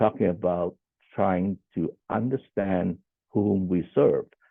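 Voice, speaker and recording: At a fairly slow pace, a man with a Cantonese accent talks in a fairly low voice with ordinary pitch variation. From Hong Kong. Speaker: social worker. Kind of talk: conference panel presentation. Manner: halting, many fillers and repeats.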